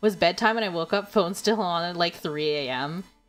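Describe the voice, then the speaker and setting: Music plays behind a woman who speaks with a Canadian accent. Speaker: VTuber streamer. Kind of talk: casual live-stream chat while gaming.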